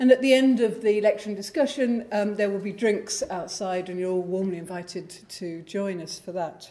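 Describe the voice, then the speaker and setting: A woman speaks at a moderate pace, her loudness swinging widely while her pitch varies in an ordinary way. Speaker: host introducing the lecturer. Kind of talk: formal introduction speech. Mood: warm, lightly humorous. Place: hall. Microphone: podium.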